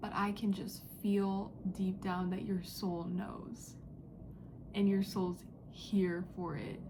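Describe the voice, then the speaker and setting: Audible room echo surrounds a monotone, flat delivery at a very slow pace. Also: woman, medium pitch for a woman. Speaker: psychic reader. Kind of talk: spiritual channeling message. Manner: whispering, quiet; casual, filler-heavy.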